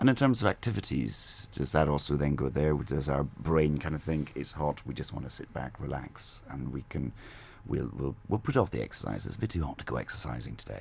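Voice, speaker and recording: A man's very deep, low voice with vocal fry at a fairly quick pace. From Scotland. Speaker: radio host. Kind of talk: radio interview.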